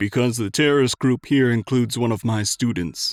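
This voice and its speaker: A man puts on a character voice at medium pitch, talking at a fairly quick pace. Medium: read story. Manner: weary, rueful.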